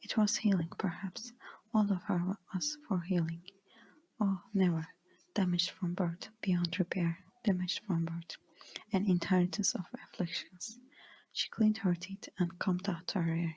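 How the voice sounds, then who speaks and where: Whispering at a moderate pace. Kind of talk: ASMR book reading. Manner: whispered.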